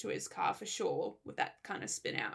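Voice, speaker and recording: A woman is speaking. She has an Australian accent. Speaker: podcast co-host. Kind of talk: casual chat.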